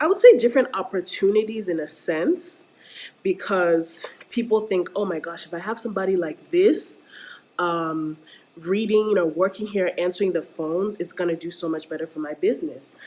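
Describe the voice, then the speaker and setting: At a moderate pace, a woman with an American accent speaks in an animated tone. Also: medium pitch for a woman, ordinary pitch variation, big swings in loudness. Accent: foreign accent, American-sounding. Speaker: vlogger. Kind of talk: casual rant vlog.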